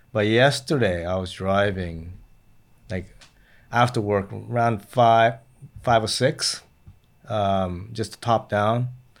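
Very clean recording, silent background: a man with an American accent speaks at a very slow pace with long, frequent pauses. His pitch is fairly low with ordinary pitch variation. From Japan, then US from age 8 for ten years. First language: Japanese. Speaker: guest. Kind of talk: casual chat.

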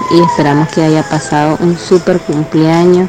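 The delivery is fairly slow with monotone, flat intonation. There is noticeable background noise. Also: woman. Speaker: fan. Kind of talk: recorded voice message.

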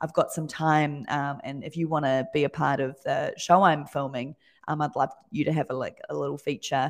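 Against a quiet background, a woman with a New Zealand accent speaks in a very deep, low pitch. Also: moderate pace. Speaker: design studio owner. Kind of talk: casual interview chat.

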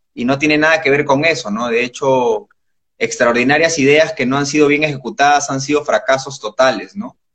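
A man with an ordinary speaking voice delivers his words fairly quickly, his pitch fairly high and its variation ordinary. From Peru. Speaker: entrepreneur. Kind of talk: casual interview. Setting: Instagram live.

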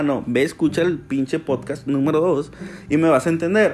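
At a moderate pace, a man with a Mexican accent talks at a fairly high pitch. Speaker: solo podcaster. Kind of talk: casual monologue. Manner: hesitant, with many fillers and repetitions.

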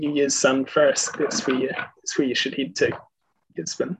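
A man speaks with a New Zealand accent. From New Zealand, Queenstown. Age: 20s. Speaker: airline pilot. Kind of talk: casual chat.

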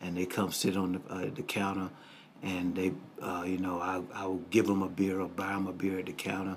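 There is audible room echo as a man with a very deep, low pitch speaks at a moderate pace in a flat monotone. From US South, Greenville, Mississippi. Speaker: pastor. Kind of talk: interview, life story testimony. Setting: studio.

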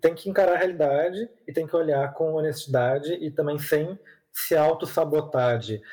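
Moving at a moderate pace, a man with a dark, mellow tone speaks at a fairly high pitch with ordinary pitch variation. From southern Brazil, Porto Alegre. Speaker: content creator on personal finance. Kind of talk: podcast interview. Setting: remote recording over the internet.

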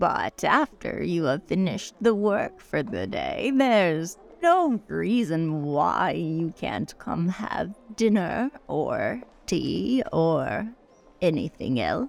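With faint music in the background, a woman talks very slowly at a medium pitch. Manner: insistent, flirtatious, imperious.

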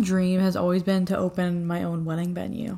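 A woman speaks at medium pitch in a somewhat breathy voice. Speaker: podcast host. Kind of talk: casual chat. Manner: animated.

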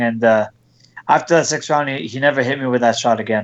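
Using an unremarkable speaking voice at medium pitch, a man talks at a fairly quick pace with fairly even intonation. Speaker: boxer. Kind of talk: casual interview.

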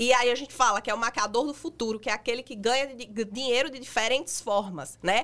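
A woman with a high pitch and a bright, sharp tone talks fairly quickly and animatedly, with hardly any pauses. Her loudness swings widely, and her pitch varies in an ordinary way. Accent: northeastern Brazilian. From Brazilian Northeast, Rio Grande do Norte. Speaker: makeup artist and influencer. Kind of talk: interview.

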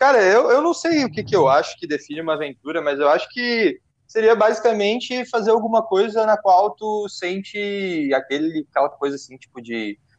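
A man with a high-pitched voice speaks at a moderate pace, his pitch swinging very widely and hardly ever pausing. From southern Brazil, Porto Alegre. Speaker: podcast host. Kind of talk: casual chat.

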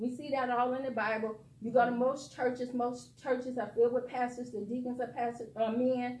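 A high-pitched woman with an American accent, with audible room echo. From Detroit, US Midwest. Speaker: guest preacher. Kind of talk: sermon.

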